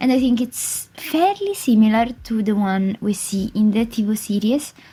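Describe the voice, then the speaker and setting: A woman speaks with an Italian accent. Her pitch is fairly high. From Italy. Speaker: gaming YouTuber. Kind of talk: voice-over commentary on a game build. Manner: hesitant, filler-heavy.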